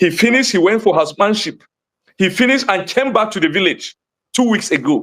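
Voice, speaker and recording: Speaking with a Nigerian accent, this voice moves at a fairly quick pace with lively intonation. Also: man. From Nigeria, Plateau State (Jos). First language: Hausa. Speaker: community spokesperson. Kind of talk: interview. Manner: animated; fast.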